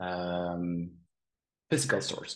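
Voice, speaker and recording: A man is speaking. His pace is fairly slow. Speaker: conference speaker. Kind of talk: conference talk. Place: home room. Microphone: webcam.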